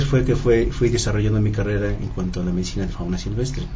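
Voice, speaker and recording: Noticeable background noise surrounds this male speaker. The room echo is audible. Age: 50s. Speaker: veterinarian. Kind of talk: radio interview. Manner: halting.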